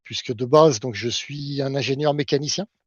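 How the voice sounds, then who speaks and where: With a normal speaking voice, this man's pitch sits fairly high as he moves at a moderate pace. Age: 60s. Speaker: sport shooting official and engineer. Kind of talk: podcast interview.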